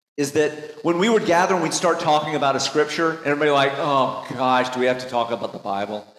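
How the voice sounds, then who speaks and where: There is audible room echo as a man with a fairly high pitch talks at a fairly quick pace with lively intonation. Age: 50s. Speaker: pastor. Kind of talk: sermon. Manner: animated.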